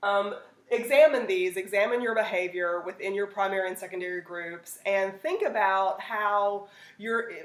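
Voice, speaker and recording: With audible room echo, a woman talks at a moderate pace in a medium pitch with ordinary pitch variation. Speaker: teacher. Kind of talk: lecture. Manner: animated.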